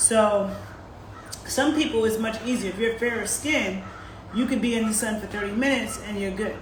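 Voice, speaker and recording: A woman speaks at a fairly high pitch with fairly even intonation. Audible room echo and noticeable background noise fill the recording. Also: moderate pace. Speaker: sports nutritionist hosting a live stream. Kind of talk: casual live-stream talk answering viewers. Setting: live stream on social media. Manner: conversational with many fillers.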